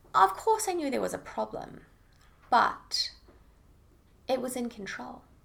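A woman with a New Zealand accent speaks at a moderate pace, pausing long and often, with big swings in loudness. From New Zealand, Auckland. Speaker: eating disorder recovery coach. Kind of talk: interview about lived experience.

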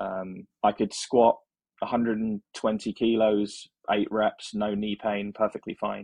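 A man with an English accent, at a very slow pace. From England. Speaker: software engineer. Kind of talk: interview.

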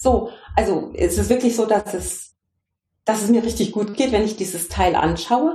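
Audible room echo surrounds a woman speaking at a moderate pace with ordinary pitch variation. Her fairly high-pitched voice has a dark, mellow tone and vocal fry. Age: 50s. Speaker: consciousness coach. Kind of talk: interview. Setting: video call.

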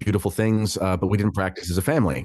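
Against a quiet background, a man with a Canadian accent talks very fast at a fairly low pitch with ordinary pitch variation. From Canada, Ontario city. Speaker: author and voice actor. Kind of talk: casual chat.

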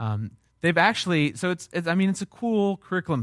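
This man speaks at a very fast pace, his pitch swinging very widely. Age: 30s. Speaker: pastor. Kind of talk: sermon. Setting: church. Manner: halting.

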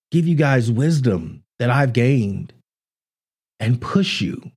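Fairly slow and somewhat breathy, a man's fairly high voice sounds animated, with very wide pitch swings. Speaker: podcast host. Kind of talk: motivational talk, solo monologue. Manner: earnest, uplifting, encouraging; animated, pep-talk delivery.

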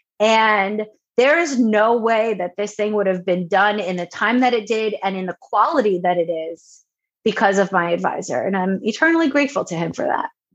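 In an American accent, a woman with an ordinary speaking voice talks at a moderate pace, her pitch fairly high and her intonation lively. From Long Island, New York. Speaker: education researcher and university administrator. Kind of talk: interview.

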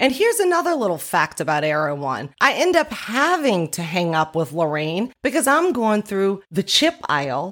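Against a very clean recording with a silent background, the loud voice moves at a moderate pace with very wide pitch swings. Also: woman. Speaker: podcast host. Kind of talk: casual storytelling monologue.

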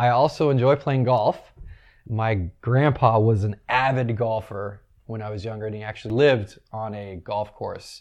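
Against a quiet background, a man with a plain, everyday voice at medium pitch talks at a moderate pace in a fairly even intonation, with big swings in loudness. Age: 30s. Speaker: wedding DJ and business owner. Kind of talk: casual interview.

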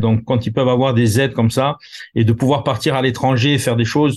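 A man with a Corsican accent speaks in a monotone, flat intonation. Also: quiet background. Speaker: concert producer and elected representative. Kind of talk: interview. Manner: halting, many repetitions and fillers.

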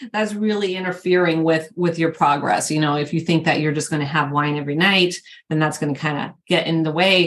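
A woman talks fairly quickly in a normal speaking voice. Her pitch is fairly low and her intonation fairly even. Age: 50s. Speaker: podcast host, fitness coach. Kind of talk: casual chat.

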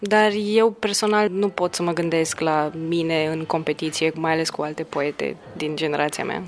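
Amid noticeable background noise, a woman with a fairly low pitch speaks at a moderate pace. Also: fairly even intonation. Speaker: poet. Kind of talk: casual chat. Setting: hotel lobby. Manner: soft-spoken.

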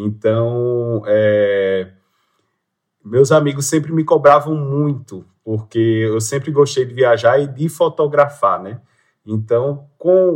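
Speaking very slowly at a medium pitch, a man shows ordinary pitch variation and big swings in loudness. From Pernambuco, Brazil (Agreste, Limoeiro). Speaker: public prosecutor and traveler. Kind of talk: interview. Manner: halting.

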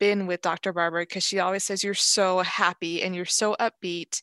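Against a quiet background, a woman with an American accent is heard in a dry, close sound with no echo. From Los Angeles, California. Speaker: medical student. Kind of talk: interview. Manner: halting, many restarts and fillers.

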